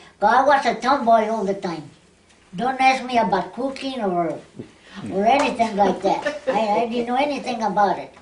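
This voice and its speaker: Amid noticeable background noise and audible room echo, a woman with a fairly high voice and ordinary pitch variation speaks at a moderate pace, pausing long and often. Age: 90s. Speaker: oral history interviewee. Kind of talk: oral history interview. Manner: halting.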